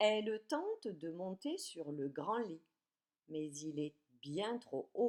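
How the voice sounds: A natural reading voice with lively intonation comes through against a quiet background.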